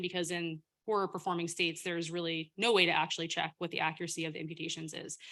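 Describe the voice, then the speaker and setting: A loud woman with a bright, sharp tone at a very fast pace, in a very clean recording with a silent background. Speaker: government data official presenting. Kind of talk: Q&A session after presentation.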